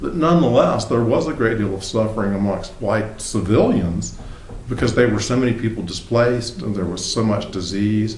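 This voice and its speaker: A man speaks at a fairly quick clip in a fairly low voice with ordinary pitch variation, with noticeable background noise and audible room echo. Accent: Southern US. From US South, South Carolina. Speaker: novelist. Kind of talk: interview. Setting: apartment.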